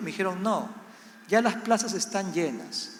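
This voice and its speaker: A man speaks with a Peruvian accent. Noticeable background noise and audible room echo are present. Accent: Latin American (Peruvian). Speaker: missionary pastor. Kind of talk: sermon. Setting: church service.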